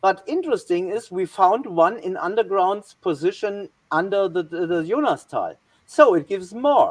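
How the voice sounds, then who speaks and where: A woman's medium-pitched voice in a German accent, moderate in pace, with lively intonation. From Germany. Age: 60s. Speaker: historian. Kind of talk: presentation. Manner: halting.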